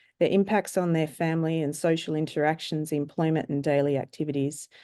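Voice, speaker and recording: In an Australian accent, a woman speaks with a very deep, low pitch and a dark, mellow tone against a quiet background. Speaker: surgeon and researcher. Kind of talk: conference presentation. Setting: webinar. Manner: formal.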